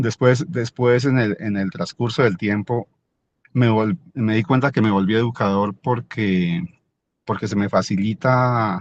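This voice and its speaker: Speaking at a fairly slow pace with medium pitch and ordinary pitch variation, a man is heard in a dry, close sound with no echo over a quiet background. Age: 60s. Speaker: merchant, participant in alumni dialogue. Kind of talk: personal testimony in online panel. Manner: halting, many repetitions.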